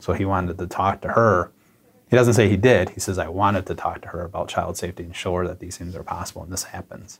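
Speaking very fast in an American accent, a man with a very deep, low pitch sounds somewhat breathy, his intonation fairly even and his loudness swinging widely. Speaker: police detective interviewed. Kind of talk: interview recollection.

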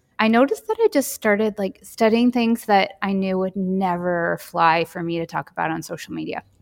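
A woman with an ordinary speaking voice talks at a moderate pace and medium pitch, with ordinary pitch variation and hardly any pauses, in a dry, close recording with no echo. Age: 40s. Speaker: Jungian somatics teacher. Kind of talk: interview conversation.

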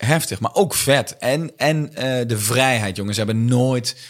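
A man's plain, everyday voice, medium in pitch, with ordinary pitch variation and a fairly slow pace. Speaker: comedian. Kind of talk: casual chat.

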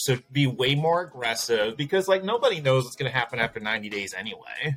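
Speaking at a fairly quick pace, a man uses an unremarkable speaking voice of medium pitch. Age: 40s. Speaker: branding firm founder and CEO. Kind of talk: interview conversation.

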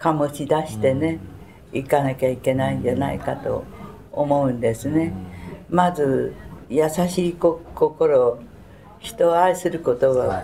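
Against noticeable background noise, a woman with a very deep, low pitch speaks at a fairly slow pace with ordinary pitch variation. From Tokyo (Sumida, shitamachi). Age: 90s. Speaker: war survivor. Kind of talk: testimony. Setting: museum.

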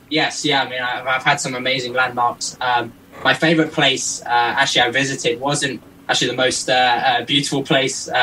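Speaking at a fairly quick pace, a man holds a medium pitch in a monotone, flat delivery against noticeable background noise. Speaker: record-setting pilot. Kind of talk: interview.

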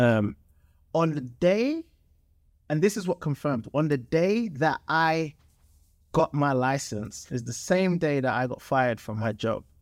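Speaking with a London accent, a man uses a fairly high pitch and lively intonation at a fairly slow pace. He leaves long, frequent pauses in a very clean recording with a silent background. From London, England. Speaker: entrepreneur, former soccer player. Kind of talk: casual interview chat. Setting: studio.

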